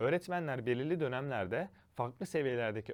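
Over a quiet background, a man speaks at a fairly quick pace with very wide pitch swings. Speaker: study-abroad education consultant. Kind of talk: informational monologue.

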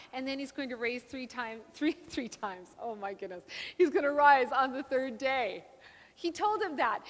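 A woman speaks with a high pitch. Her pace is moderate. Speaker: guest preacher. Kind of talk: sermon. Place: church.

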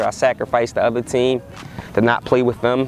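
A man talks at a fairly quick pace and medium pitch, with little pitch movement. Faint background noise is present.

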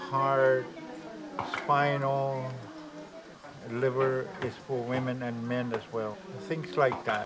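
A man at a very slow pace against noticeable background noise. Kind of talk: interview answer. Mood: proud, explanatory. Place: home room.

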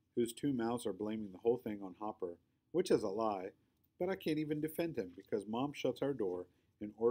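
Lively intonation in a natural reading voice

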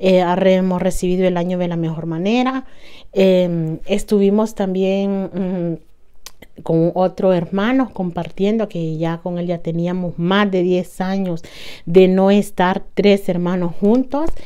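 A woman at a very slow pace, medium in pitch, dark and mellow in tone, with fairly even intonation and a quiet background. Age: 40s. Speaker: lifestyle vlogger. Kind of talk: casual vlog monologue. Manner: halting, with fillers. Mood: warm, happy, reflective. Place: home room. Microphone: lapel.

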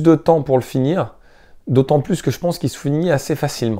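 Over a quiet background, a man with a fairly high pitch and a dark, mellow tone speaks at a fairly quick pace with ordinary pitch variation. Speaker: gaming YouTuber, video game collector; game collector youtuber. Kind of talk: casual vlog talk to camera. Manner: hesitant, many filler sounds. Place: home room. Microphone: lapel.

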